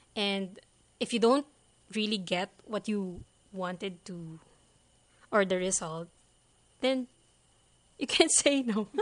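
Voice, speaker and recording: Long, frequent pauses break up a woman's speech, which moves at a very slow pace. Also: medium pitch for a woman, ordinary pitch variation, quiet background. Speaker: virtual assistant, engineer. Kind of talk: interview. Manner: hesitant, many fillers.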